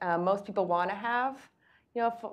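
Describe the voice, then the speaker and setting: A woman's plain, everyday voice at a medium pitch, fairly quick pace, and fairly even intonation. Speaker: business services director at a lender. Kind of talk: panel discussion.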